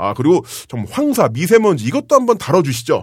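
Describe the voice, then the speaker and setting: Very fast, somewhat breathy speech from a man. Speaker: podcast host. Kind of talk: casual chat. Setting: studio.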